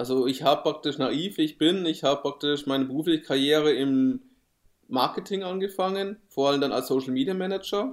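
This is a normal speaking voice with ordinary pitch variation, on a very clean recording with a silent background. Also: man. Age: 30s. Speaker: podcast co-host, digital marketer. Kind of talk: casual chat.

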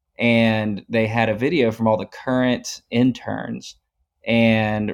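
A man with a Texan accent talks at a very slow pace. His intonation stays fairly even. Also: very even loudness. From East Texas, Tyler. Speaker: oil and gas and ranching worker. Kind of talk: casual interview.

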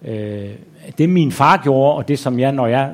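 With ordinary pitch variation, a man's medium-pitched voice moves along at a moderate speed. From Denmark, Aarhus. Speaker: author and journalist. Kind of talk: onstage interview. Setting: stage with audience.

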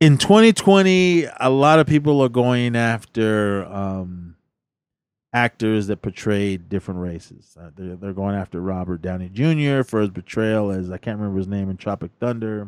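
A man with a normal speaking voice talks at a moderate pace in a fairly low pitch, with ordinary pitch variation and big swings in loudness. The recording is very clean, with a silent background and a dry, close sound with no echo. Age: 40s. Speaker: podcast co-host, film reviewer. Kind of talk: casual chat.

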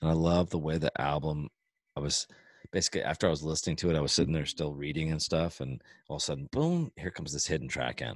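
Very fast and fairly even in intonation, a man's very deep, low voice comes through a dry, close sound with no echo in a very clean recording with a silent background. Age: 40s. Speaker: podcast host and musician. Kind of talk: casual chat.

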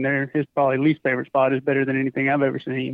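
A man with a Southern US accent talks at a fairly high pitch. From Mississippi. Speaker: turkey hunter. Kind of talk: casual chat.

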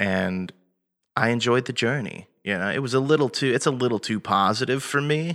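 Moderately paced, it is a plain, everyday voice with ordinary pitch variation. The recording is very clean with a silent background. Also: man, medium pitch for a man. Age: 20s. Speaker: punk and thrash vocalist, content creator. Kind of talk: casual chat.

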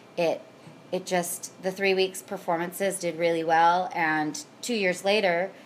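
Speaking at a fairly slow pace, a woman with a Pacific Northwest accent keeps a medium pitch and fairly even intonation. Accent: Pacific Northwest American. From Washington State, Puyallup (Pierce County). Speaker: theatre performer and producer. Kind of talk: interview.

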